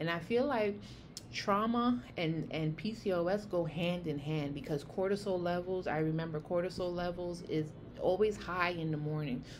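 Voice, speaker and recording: A woman with a New York accent speaks at a fairly low pitch with ordinary pitch variation, and audible room echo is present. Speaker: health vlogger. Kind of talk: casual vlog monologue. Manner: fast; animated.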